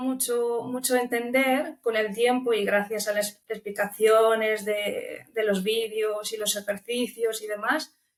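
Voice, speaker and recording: A woman's intonation remains fairly even. She talks at a fairly slow pace. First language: Romanian (speaking Spanish). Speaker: language student. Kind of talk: interview.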